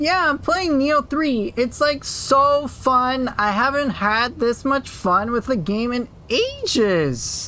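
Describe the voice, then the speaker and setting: A female-sounding, put-on character voice comes through high-pitched and nasal. It moves at a fairly slow pace with hardly any pauses, over light background noise. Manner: mocking, exaggerated.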